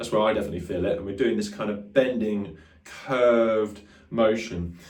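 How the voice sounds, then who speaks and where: Audible room echo and noticeable background noise surround a man speaking at a fairly low pitch with ordinary pitch variation. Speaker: guitar teacher. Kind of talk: tutorial. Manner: fast; casual, filler-heavy.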